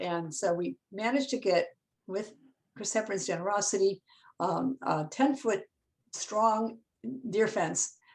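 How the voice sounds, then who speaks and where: A woman's fairly high-pitched voice with lively intonation. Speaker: forest ecologist, professor. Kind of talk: presentation on a video call. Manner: fast.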